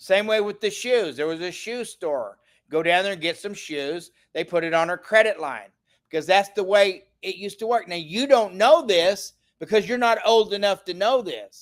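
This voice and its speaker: On a very clean recording with a silent background, a high-pitched man with an animated tone speaks at a moderate pace with ordinary pitch variation. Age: 60s. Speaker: financial livestream host. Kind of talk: live stream sales pitch. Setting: livestream.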